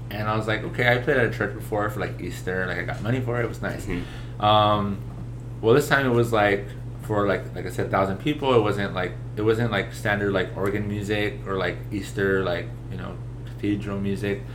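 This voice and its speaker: A man at a fairly quick pace, his pitch swinging very widely, with vocal fry and audible room echo. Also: fairly low pitch for a man. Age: 20s. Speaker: podcast guest, musician. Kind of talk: casual chat.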